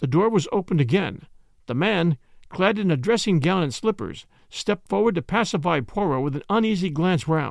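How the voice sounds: A natural reading voice carries lively intonation.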